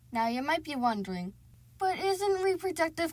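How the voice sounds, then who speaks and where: A woman speaks with a somewhat breathy voice and very wide pitch swings. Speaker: student. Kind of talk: educational explainer narration.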